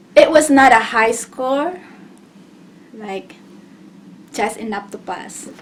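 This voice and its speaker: A woman with a non-native accent speaks at a very slow pace, her pitch fairly high. Her intonation is lively, and noticeable background noise runs underneath. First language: not English. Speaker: GED test taker sharing tips. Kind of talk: casual tutorial vlog. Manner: halting, with repetitions and fillers.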